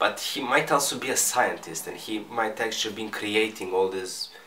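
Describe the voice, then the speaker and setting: Through audible room echo and noticeable background noise, a man with a non-native accent and fairly low pitch speaks at a moderate pace. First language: not English. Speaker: manga reviewer. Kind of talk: casual review monologue. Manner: halting, with repetitions and fillers.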